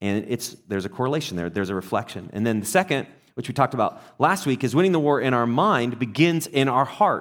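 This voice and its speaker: Barely pausing, a man races along at a very fast pace in a medium pitch with very wide pitch swings. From England. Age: 40s. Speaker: pastor. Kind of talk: sermon. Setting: church. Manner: conversational, with filler hesitations.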